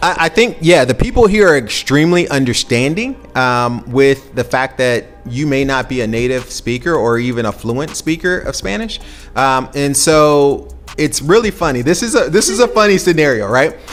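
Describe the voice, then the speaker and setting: A man with an American accent, fairly high pitch and lively intonation, at a moderate pace with music in the background. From US South, Atlanta, Georgia. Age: 40s. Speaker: expat interviewee. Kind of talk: interview. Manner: hesitant with fillers.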